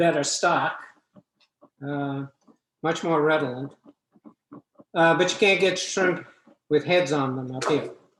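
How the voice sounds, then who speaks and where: A man with a fairly high voice speaks fairly slowly and with fairly even intonation, over light background noise and audible room echo. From New Orleans. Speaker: home cook. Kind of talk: cooking demonstration. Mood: relaxed, chatty. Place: kitchen. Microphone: camera far.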